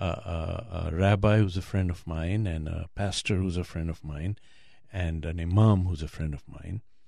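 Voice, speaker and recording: In a very clean recording with a silent background, a man speaks at a moderate pace. His pitch is very deep and low, his tone dark and mellow, and his intonation fairly even. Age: 60s. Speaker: heart transplant patient and blogger. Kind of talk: interview. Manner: halting.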